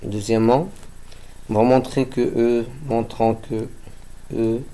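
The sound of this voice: Slow and dark in tone, a man's mellow, fairly low voice shows little pitch movement.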